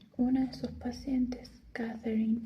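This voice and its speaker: A soft-spoken voice, very slow in pace. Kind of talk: reading a book blurb aloud. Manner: soft-spoken, quiet.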